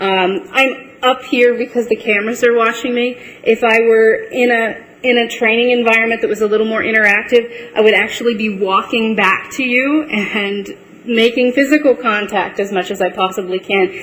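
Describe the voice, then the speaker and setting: A woman speaks at a moderate pace in a fairly high pitch, with hardly any pauses. Noticeable background noise runs under her voice. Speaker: trainer giving a presentation. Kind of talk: live presentation to an audience. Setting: room with audience, filmed, microphones. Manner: uses many ums.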